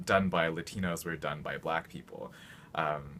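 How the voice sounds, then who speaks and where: Intonation is fairly even throughout. The pace is fairly quick. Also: man. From Utah (Salt Lake City). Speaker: university student, residential college adviser. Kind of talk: personal testimony.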